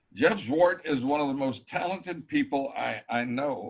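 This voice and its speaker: A man at a fairly high pitch, very wide pitch swings and vocal fry, fairly slow pace. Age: 70s. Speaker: car show founder and organizer. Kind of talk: interview.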